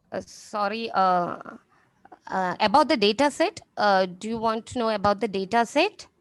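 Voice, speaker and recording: In a Keralan accent, a woman speaks at a moderate pace with a fairly high pitch and lively intonation. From India, Kerala. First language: Malayalam. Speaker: research scholar. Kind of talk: conference Q&A. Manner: halting.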